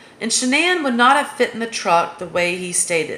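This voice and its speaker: A woman with an American accent speaks at a high pitch with very wide pitch swings, over noticeable background noise. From US South. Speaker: true crime commentator. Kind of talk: casual monologue.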